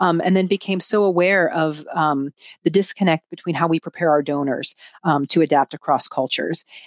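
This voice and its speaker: Fairly quick and fairly even in intonation, a woman speaks at a fairly low pitch. Her loudness stays very even, and the sound is dry and close with no echo. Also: very clean recording, silent background. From United States. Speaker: nonprofit consultant. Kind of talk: interview. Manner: hesitant, many fillers.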